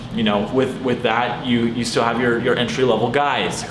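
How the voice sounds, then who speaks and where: A man with a medium pitch talks amid audible room echo and noticeable background noise. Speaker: vlogger, car wash maintenance worker. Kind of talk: casual vlog monologue. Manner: animated.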